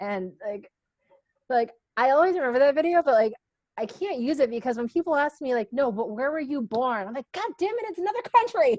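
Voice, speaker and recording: An animated woman's voice, high in pitch with very wide pitch swings, in an American accent and a dry, close sound with no echo. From USA. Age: 30s. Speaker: guest speaker, engineer. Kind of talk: casual panel discussion.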